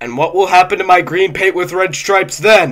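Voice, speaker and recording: A man uses a put-on character voice. His pitch is high. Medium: read story. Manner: fussy, petulant.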